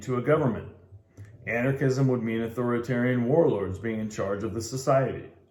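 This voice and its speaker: A man's medium-pitched voice, fairly quick, with ordinary pitch variation and audible room echo. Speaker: amateur book reader. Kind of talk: reading aloud. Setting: in a bar. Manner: halting cold reading with stumbles.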